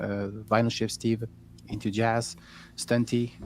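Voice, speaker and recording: A man with a French accent talks at a moderate pace. His medium-pitched voice stays monotone and flat. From France. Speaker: vinyl collector streamer. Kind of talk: casual chat. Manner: halting.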